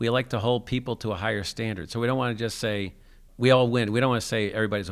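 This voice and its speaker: On a very clean recording with a silent background, a man with an American accent speaks at a very fast pace with fairly even intonation. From US Northeast (New Jersey). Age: 60s. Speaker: adaptive sports program founder. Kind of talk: interview conversation. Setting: school gym.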